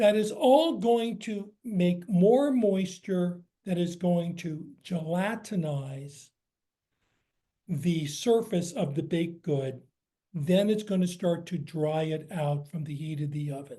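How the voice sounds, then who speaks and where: A man with an American accent speaks at a very slow pace, high in pitch, with a dark, mellow tone and lively intonation. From US, San Francisco. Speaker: cookbook author. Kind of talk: lecture Q&A.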